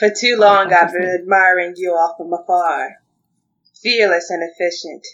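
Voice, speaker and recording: A booming, put-on character voice at a middle pitch goes along at a moderate pace. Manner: grandiose announcement.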